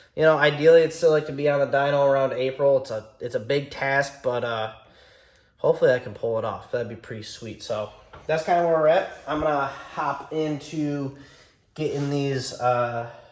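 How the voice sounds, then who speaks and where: In a room with audible echo and noticeable background noise, a man speaks with a fairly high pitch and fairly even intonation. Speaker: car build YouTuber. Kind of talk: garage vlog talk. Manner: fast.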